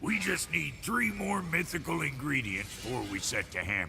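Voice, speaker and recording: A man puts on a raspy character voice at a moderate pace, with clear background noise behind him. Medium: game stream. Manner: crude, blunt.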